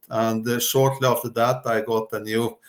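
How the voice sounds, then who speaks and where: A man at a moderate pace in a flat monotone, on a very clean recording with a silent background. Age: 60s. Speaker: entrepreneur and coach. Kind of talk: interview. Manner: hesitant, with many fillers.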